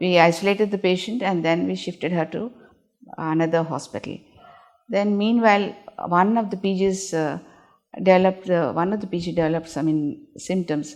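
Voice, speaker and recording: In a normal speaking voice, a woman talks at a fairly quick pace with a medium pitch and ordinary pitch variation. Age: 60s. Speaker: gynaecologist. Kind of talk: interview answer.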